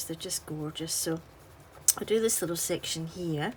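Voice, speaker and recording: In a Scottish accent, a woman talks with a fairly low pitch. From Scotland. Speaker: artist and colouring tutorial maker. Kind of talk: tutorial. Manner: relaxed, gentle.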